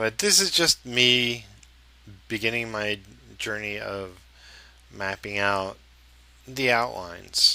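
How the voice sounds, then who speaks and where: A man at a very slow pace, with fairly low pitch and fairly even intonation. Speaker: comic book artist. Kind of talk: narrated drawing tutorial. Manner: hesitant, many fillers.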